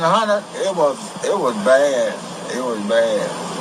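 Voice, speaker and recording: Man with an American accent over noticeable background noise. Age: 80s+. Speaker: centenarian telling life story. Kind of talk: interview answer.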